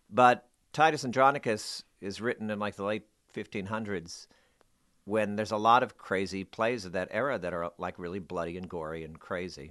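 Against a quiet background, a man with a fairly low pitch and a normal speaking voice talks at a moderate pace with ordinary pitch variation. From New Jersey, Bayonne. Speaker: stage actor. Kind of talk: casual interview. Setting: studio.

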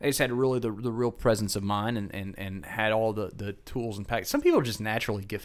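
A man's fairly low voice at a very fast pace, with hardly any pauses and fairly even intonation. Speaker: broadcast meteorologist podcast host. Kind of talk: casual podcast chat. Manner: halting, many filler words.

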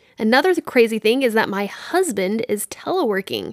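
A woman with an American accent talks fairly quickly at a fairly high pitch. She has a plain, everyday voice. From Texas, Dallas-Fort Worth. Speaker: podcast host. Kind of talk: solo monologue podcast.

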